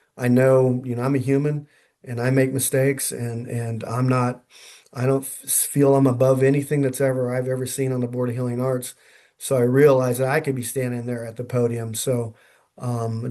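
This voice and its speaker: In a dark, mellow tone, a man at a medium pitch speaks at a moderate pace with monotone, flat intonation. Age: 60s. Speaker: chiropractor. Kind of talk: interview. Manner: halting.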